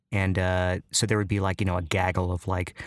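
A man talks in a fairly low voice with an American accent. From US Midwest, Chicago southwest side. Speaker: clown and actor. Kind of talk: casual interview. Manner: halting, many fillers.

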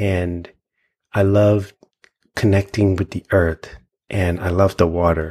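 A man with an American accent speaks at a moderate pace in a calm, dark, mellow tone. His intonation is monotone and flat, in a very clean recording with a silent background. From US Virgin Islands (St. Thomas). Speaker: intuitive healer. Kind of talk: interview conversation.

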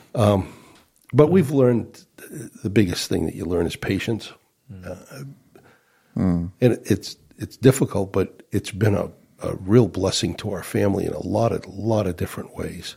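At a moderate pace, a man with a fairly low pitch and a dark, mellow tone sounds somewhat breathy, using ordinary pitch variation. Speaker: church minister. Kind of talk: casual chat.

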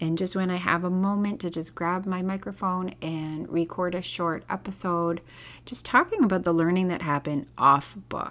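Soft-spoken and fairly low in pitch, a woman talks at a moderate pace with fairly even intonation. The recording is very clean, the background silent. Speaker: homeschooling podcast host, former teacher. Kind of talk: casual solo podcast monologue. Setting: home recording at night.

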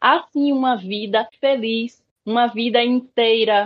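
With a Bahian accent, a woman talks in a high pitch with lively intonation. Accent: northeastern Brazilian (Bahia). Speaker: education researcher and activist. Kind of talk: interview conversation.

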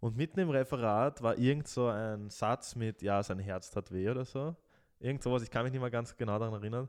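A man's plain, everyday voice at medium pitch and a fairly quick pace, with ordinary pitch variation and a quiet background. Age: 20s. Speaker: podcast co-host. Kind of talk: casual chat.

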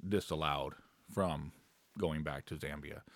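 At a moderate pace, a man with very deep, low pitch and vocal fry speaks with ordinary pitch variation. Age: 30s. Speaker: co-pastor. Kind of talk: casual chat.

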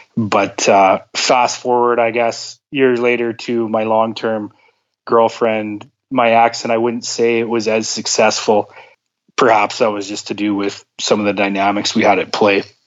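Here a man talks at a medium pitch in a monotone with flat intonation. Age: 30s. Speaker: podcast guest sharing personal story. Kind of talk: interview. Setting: phone call. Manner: halting, many fillers.

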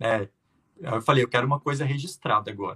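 A man's fairly high, bright, sharp voice at a very fast pace, with lively intonation and a dry, close sound with no echo. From Brazil, Minas Gerais (Triângulo Mineiro). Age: 20s. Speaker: flight attendant. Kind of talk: interview.

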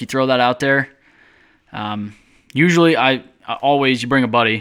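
In a very clean recording with a silent background, a man speaks at medium pitch and a moderate pace with ordinary pitch variation. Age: 20s. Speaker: podcast producer and hunter. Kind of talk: casual chat.

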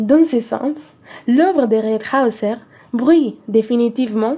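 A woman with a Spanish accent talks very slowly at a high pitch. Her pitch varies in an ordinary way. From Peru, Cajamarca. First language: Spanish (speaking French). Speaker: student film critic. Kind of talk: scripted film review reading.

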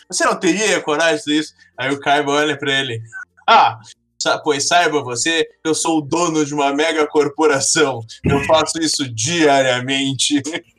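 A man at a fairly slow pace over background music. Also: ordinary pitch variation. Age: 20s. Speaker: computer science student. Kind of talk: casual chat.

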